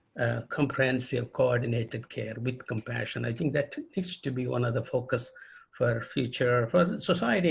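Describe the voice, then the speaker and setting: At a moderate pace, a man with a medium-pitched voice talks with vocal fry. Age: 80s+. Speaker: retired pediatric rheumatologist. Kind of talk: interview. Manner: halting.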